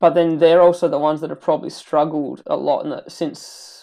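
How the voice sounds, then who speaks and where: Fairly level intonation carries a voice with a dark, mellow tone. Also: woman, very clean recording, silent background. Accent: Australian. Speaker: podcast host. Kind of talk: casual chat.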